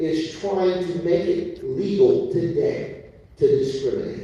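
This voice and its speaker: A man with an American accent speaks at a very slow pace, with audible room echo and noticeable background noise. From US Midwest, Gary, Indiana. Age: 60s. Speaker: community activist. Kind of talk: public speech.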